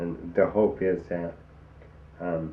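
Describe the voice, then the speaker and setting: In a space with audible room echo, a man is speaking. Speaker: person living with ALS. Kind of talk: documentary interview. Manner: labored, slurred speech; halting, many fillers.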